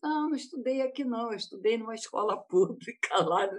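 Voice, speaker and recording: A woman speaking at a fairly slow pace. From Rio de Janeiro state, Brazil. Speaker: panel guest, doctor. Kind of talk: panel discussion. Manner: halting.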